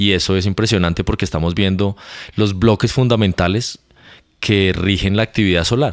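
An ordinary speaking voice, this man's is fairly low in pitch, with very even loudness, a moderate pace and a quiet background. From Colombia, Bogotá. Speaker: astrophysicist. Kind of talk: casual interview. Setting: in person at university.

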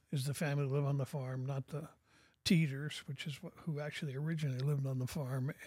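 On a very clean recording with a silent background, a man speaks in a fairly high, somewhat breathy voice. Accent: American. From US Pacific Northwest (Portland, Oregon). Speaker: author. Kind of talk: casual chat. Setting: studio.

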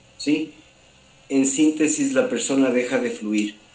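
Over noticeable background noise, a man with a medium-pitched voice speaks fairly slowly with ordinary pitch variation. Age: 40s. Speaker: holistic therapist. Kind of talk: interview.

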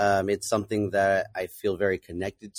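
In an ordinary speaking voice, a man talks at a fairly quick pace in a fairly low pitch, in a dry, close sound with no echo and a very clean recording with a silent background. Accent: American. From California. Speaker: tiki bar bartender. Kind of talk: casual chat.

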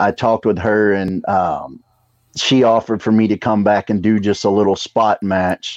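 Delivered with a slight Southern US accent, the speech holds a very even loudness and fairly even intonation, with a dry, close sound and no echo. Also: man, fairly low pitch for a man. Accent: slight Southern drawl. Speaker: pro wrestler and wrestling school trainer. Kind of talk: casual chat.

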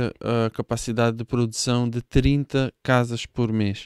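Speaking very slowly at a medium pitch, a man keeps a monotone, flat intonation on a very clean recording with a silent background. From Israel. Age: 30s. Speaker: hemp building materials entrepreneur. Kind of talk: casual interview. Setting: studio. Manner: halting.

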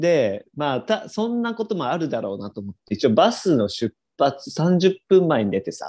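A fairly high-pitched man's voice, dark and mellow, at a moderate pace with very wide pitch swings and hardly any pauses. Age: 20s. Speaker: podcast co-host. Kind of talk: casual chat. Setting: video call. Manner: animated.

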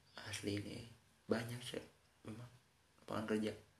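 A man talks at a moderate pace with a fairly low pitch and a monotone, flat intonation. Noticeable background noise and audible room echo surround him. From West Java (Sundanese). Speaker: podcast host. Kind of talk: casual monologue with reading aloud. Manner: halting.

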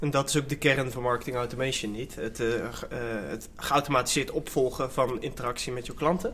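Man with a normal speaking voice, medium pitch, fairly quick pace and fairly even intonation. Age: 20s. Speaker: podcast host. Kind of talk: casual chat.

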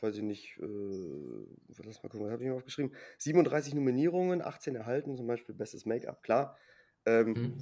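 A man with a dark, mellow tone and medium pitch speaks with ordinary pitch variation and long, frequent pauses. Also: big swings in loudness. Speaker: film podcast guest. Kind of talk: casual chat.

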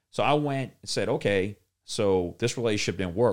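In a very clean recording with a silent background, a man with a New Orleans accent speaks with lively intonation. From New Orleans, Louisiana. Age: 30s. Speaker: refinery operator and gym owner. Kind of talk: casual chat.

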